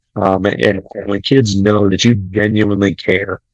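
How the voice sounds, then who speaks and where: A man speaks at fairly low pitch, the sound dry and close with no echo. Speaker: high school football coach and strength coach. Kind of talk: podcast interview. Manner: loud; energetic.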